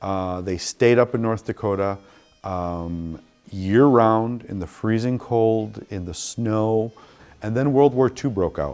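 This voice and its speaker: Fairly slow speech with ordinary pitch variation and music in the background. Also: man. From Chicago, US. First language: Spanish. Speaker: museum curator. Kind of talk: interview testimony. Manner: halting with fillers.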